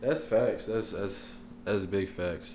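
A man speaks in an unremarkable speaking voice at a fairly low pitch. His pace is moderate and his intonation fairly even. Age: 20s. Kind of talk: casual chat.

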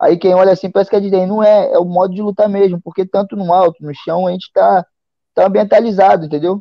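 Talking at a very fast pace, a man speaks in a high voice. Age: 30s. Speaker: MMA fighter. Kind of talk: casual interview.

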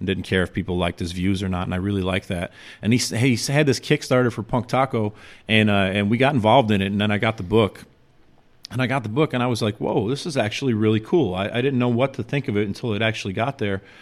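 A man speaking at a very fast pace with ordinary pitch variation. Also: fairly low pitch for a man. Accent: American. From Chicago, south side. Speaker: graffiti artist. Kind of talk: casual chat.

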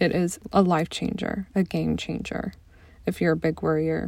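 Fairly slow speech in an American accent carries a dark, mellow tone. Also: woman. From US Midwest, near St. Louis, Missouri. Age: 20s. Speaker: podcast host and life coach. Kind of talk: personal monologue.

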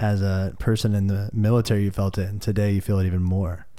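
With a Midwestern American accent, a man talks at a fairly quick pace in a fairly low pitch, his tone dark and mellow and his intonation flat and monotone. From Peoria, Illinois, US Midwest. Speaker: podcast host, interviewer. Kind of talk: casual interview conversation.

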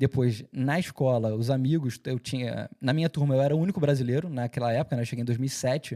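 With a Carioca accent, a man talks at a fairly quick pace in a medium pitch with ordinary pitch variation and a dark, mellow tone, recorded very cleanly against a silent background with a dry, close sound and no echo. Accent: Carioca Brazilian Portuguese, kept. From Rio de Janeiro, Brazil. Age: 30s. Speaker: entertainment media founder and presenter. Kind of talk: casual interview chat.

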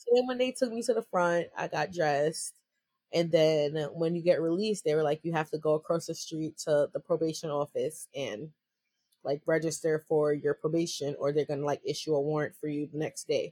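This woman's voice sits very deep and low, with a dark, mellow tone. She speaks at a moderate pace with an American accent and ordinary pitch variation. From New York. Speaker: entrepreneur and activist. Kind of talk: interview. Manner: casual, laughs often.

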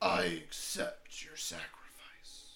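A man speaks in a raspy, put-on character voice. Light background noise sits under it. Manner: booming, otherworldly.

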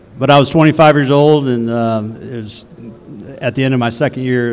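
A fairly quick pace with ordinary pitch variation. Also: man. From Texas, Waco. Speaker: women's basketball head coach. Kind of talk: casual interview. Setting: on campus, student union.

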